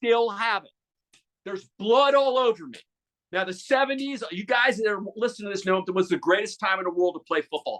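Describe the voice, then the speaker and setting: An animated man talks at a fairly quick pace in a high pitch, with ordinary pitch variation, big swings in loudness, and a dry, close sound with no echo. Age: 60s. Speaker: sportscaster. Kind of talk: casual interview chat. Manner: animated storytelling; repeats words, stammers.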